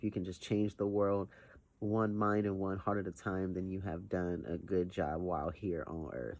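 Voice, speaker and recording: A man's very deep, low voice at a moderate pace. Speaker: vlogger. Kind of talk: casual vlog monologue. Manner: hesitant, many fillers.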